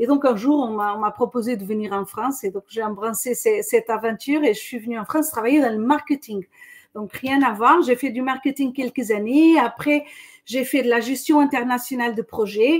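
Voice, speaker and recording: With ordinary pitch variation, the speech moves along at a moderate pace. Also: woman, high pitch for a woman. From Portugal, Lisbon. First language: Portuguese (speaking French). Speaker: corporate training director. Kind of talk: webinar interview. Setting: online webinar.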